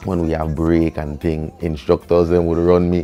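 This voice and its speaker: A man with a Virgin Islands accent and a very deep, low pitch, at a moderate pace over background music. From US Virgin Islands, St. Thomas. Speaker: reggae artist. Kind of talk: interview storytelling. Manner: casual, animated.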